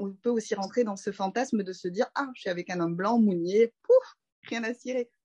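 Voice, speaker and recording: In a dry, close sound with no echo, a woman with a dark, mellow tone and medium pitch talks at a moderate pace with ordinary pitch variation. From Paris suburbs, France. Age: 30s. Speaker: doula. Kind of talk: casual interview.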